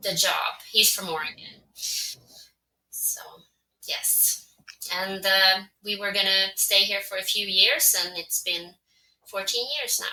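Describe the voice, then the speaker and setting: Speaking very slowly in a Swedish accent, a woman uses a medium-pitched voice with a bright, sharp tone and monotone, flat intonation. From Finland, Swedish-speaking. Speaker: translator and podcaster. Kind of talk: casual interview.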